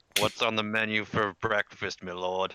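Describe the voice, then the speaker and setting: A man puts on a character voice at a fairly low pitch. He keeps a moderate pace in a monotone, flat intonation. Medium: actual play.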